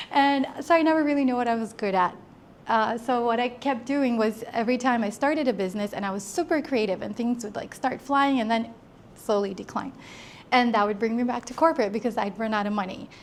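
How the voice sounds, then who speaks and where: A woman with an American accent speaks at a fairly quick pace, her fairly high voice moving with ordinary pitch variation. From Brazil, raised in the US. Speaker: entrepreneur. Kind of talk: talk to a small audience. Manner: halting.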